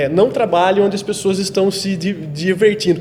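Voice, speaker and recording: Noticeable background noise behind a man speaking in a high register. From Brazil, interior of São Paulo state (Itapira). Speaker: photographer. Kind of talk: podcast interview. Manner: halting, repeats words.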